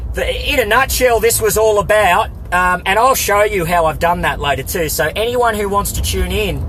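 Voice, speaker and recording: With music in the background, a man with an Australian accent talks with hardly any pauses. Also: moderate pace. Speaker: political activist live streamer. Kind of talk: live stream monologue. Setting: live stream. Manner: halting, many fillers and repeats; animated.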